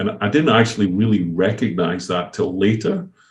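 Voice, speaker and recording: A man with a Scottish accent, fairly low in pitch, at a moderate pace. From Scotland. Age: 50s. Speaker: company founder and CEO. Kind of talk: podcast interview.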